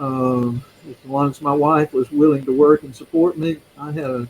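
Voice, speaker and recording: In a Mississippi accent, a man speaks at a fairly slow pace in a fairly high voice. His intonation stays fairly even. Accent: Southern US (Mississippi). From US South, Mississippi (Yazoo City). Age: 70s. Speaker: retired seminary teacher and ruling elder. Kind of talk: interview. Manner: halting, many fillers.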